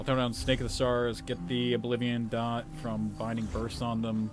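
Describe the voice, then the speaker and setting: Over background music, a man speaks at a medium pitch. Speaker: VTuber streamer. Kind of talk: casual live stream commentary. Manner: mumbles when focused.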